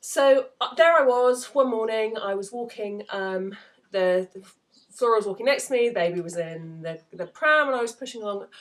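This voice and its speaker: With an English accent, a woman speaks at a fairly high pitch, her loudness swinging widely. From England. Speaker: novelist. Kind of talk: casual talk to camera. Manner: hesitant, lots of fillers.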